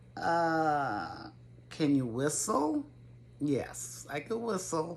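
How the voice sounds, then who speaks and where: Audible room echo surrounds a woman with an American accent who speaks at a very slow pace in a very deep, low pitch with very wide pitch swings. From Connecticut, Waterbury. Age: 70s. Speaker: gardening YouTuber. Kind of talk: casual Q&A vlog. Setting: home video to camera. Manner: hesitant, with fillers.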